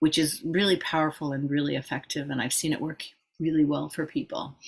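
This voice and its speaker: On a very clean recording with a silent background, a woman speaks at a very deep, low pitch with fairly even intonation. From England. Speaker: trauma therapist and practice group leader. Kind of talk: informal teaching talk to a practice group. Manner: casual, with many fillers.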